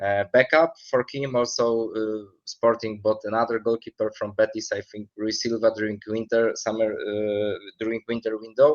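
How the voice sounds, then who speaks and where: The delivery runs at a moderate pace in a monotone, flat intonation with hardly any pauses, the sound dry and close with no echo. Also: man, medium pitch for a man. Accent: Polish. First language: Polish. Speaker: football expert. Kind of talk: interview. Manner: halting, many fillers.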